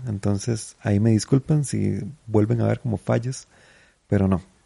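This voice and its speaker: A man speaks at a moderate pace in a dark, mellow, somewhat breathy voice, fairly low with ordinary pitch variation. The sound is dry and close with no echo. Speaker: comedian podcaster. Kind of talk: casual monologue.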